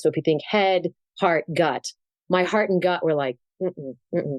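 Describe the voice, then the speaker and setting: An unremarkable speaking voice at a moderate pace, dry and close with no echo. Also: woman. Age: 60s. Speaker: keynote speaker and communication coach. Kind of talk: interview conversation.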